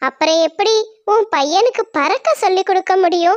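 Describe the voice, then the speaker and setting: A cartoonish character voice, female-sounding, at a fairly slow pace. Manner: earnest, direct.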